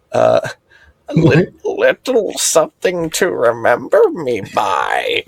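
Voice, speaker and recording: A man's croaky, put-on character voice at a very slow pace. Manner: coquettish.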